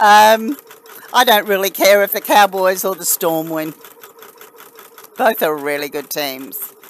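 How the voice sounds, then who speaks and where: Against noticeable background noise, a woman with an Australian accent speaks fairly slowly at a medium pitch, with lively intonation, big swings in loudness and long, frequent pauses. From Australia, New South Wales. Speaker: crafting live streamer. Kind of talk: casual live stream chat with viewers. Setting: live stream.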